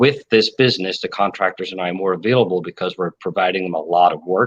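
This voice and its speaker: A man with an Irish accent speaks at a fairly low pitch with fairly even intonation, in a dry, close sound with no echo. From Ireland. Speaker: contractor business owner and real estate agent. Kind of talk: interview.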